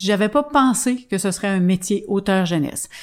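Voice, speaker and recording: A woman's plain, everyday voice at medium pitch with ordinary pitch variation, on a very clean recording with a silent background. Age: 50s. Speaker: children's author. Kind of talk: interview.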